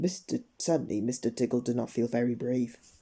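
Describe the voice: Ordinary pitch variation in plain reading aloud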